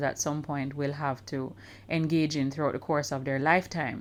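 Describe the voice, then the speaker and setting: A woman speaks with a Caribbean accent at a moderate pace. The recording is very clean, with a silent background. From Jamaica. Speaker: podcast host. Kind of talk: podcast interview.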